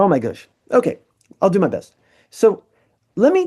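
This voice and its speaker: In a New Jersey accent, the speaker's dark, mellow voice makes very wide pitch swings. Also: man. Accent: American (New Jersey). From US, New Jersey. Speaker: musician and artist. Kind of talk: casual chat. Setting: video call. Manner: fast.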